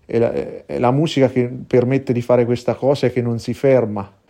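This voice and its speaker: Over a quiet background, a man talks at a moderate pace in a medium pitch with a dark, mellow tone. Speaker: blues singer. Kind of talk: recorded testimony.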